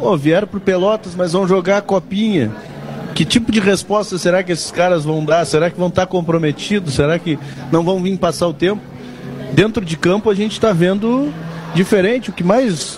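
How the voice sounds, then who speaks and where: A man's high-pitched voice at a moderate pace, ordinary pitch variation, and noticeable background noise. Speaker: sports radio commentator. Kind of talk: live radio talk show. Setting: live radio broadcast from a bar.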